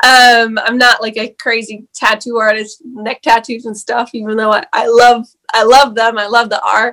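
Using monotone, flat intonation, a woman with a fairly high pitch and a bright, sharp tone speaks at a moderate pace with hardly any pauses. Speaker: actor and entrepreneur guest. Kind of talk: casual interview. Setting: video call.

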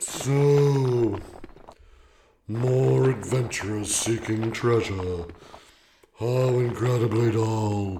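A man's put-on character voice at medium pitch, very slow, with long, frequent pauses. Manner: bored, scornful.

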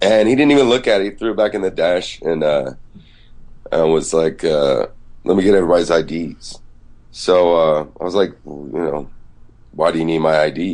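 Very deep and low in pitch, a man speaks at a moderate pace with lively intonation and long, frequent pauses. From Georgia, US South (Decatur, Atlanta). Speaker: musician. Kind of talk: casual chat.

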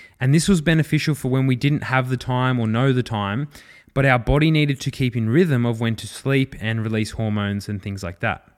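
A man with an Australian accent talks at a fairly quick pace and a medium pitch, with ordinary pitch variation. The recording is very clean with a silent background. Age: 20s. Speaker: fitness and rehab coach, podcast host. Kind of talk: solo educational podcast. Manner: casual, with frequent fillers and repetitions.

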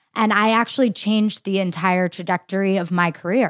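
An unremarkable speaking voice from a woman, medium in pitch with fairly even intonation, dry and close with no echo, on a very clean recording with a silent background. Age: 20s. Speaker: dietitian. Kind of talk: interview.

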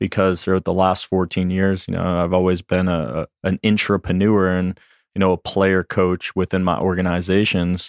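A man speaks at a moderate pace in a very deep, low pitch, his intonation monotone and flat and his loudness very even. The sound is dry and close with no echo, against a quiet background. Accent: American. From Boston, Massachusetts. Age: 30s. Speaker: door-to-door sales trainer. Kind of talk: casual interview. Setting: studio.

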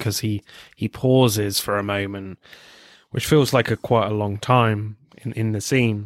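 Speaking in a southern English accent, a man delivers a monotone, flat intonation at a moderate pace and a fairly low pitch, on a very clean recording with a silent background. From England. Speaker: film podcast host. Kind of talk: casual chat.

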